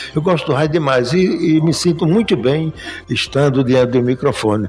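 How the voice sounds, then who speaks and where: Music plays in the background. Over it, a man talks at a fairly high pitch. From Paraíba, Brazil. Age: 80s+. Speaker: retired banker and business association leader. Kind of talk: interview.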